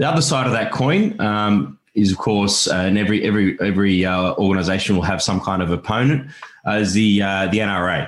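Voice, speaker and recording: A man with an Australian accent speaks at a fairly low pitch and a moderate pace. His loudness stays very even, and his pitch varies in an ordinary way. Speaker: podcast host. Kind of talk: casual chat; interview.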